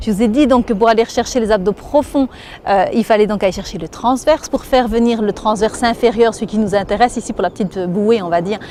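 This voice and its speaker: A woman speaks in a Belgian accent at a fairly high pitch. Noticeable background noise sits behind her. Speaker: fitness instructor. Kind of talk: exercise tutorial. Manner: instructive, guiding breathing.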